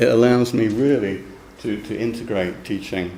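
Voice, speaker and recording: A man talks at a moderate pace with a London accent. His pitch varies in an ordinary way, and room echo is audible. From London, England. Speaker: university lecturer, program director. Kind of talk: academic seminar talk. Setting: seminar room with live audience. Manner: hesitant, with fillers and repetitions.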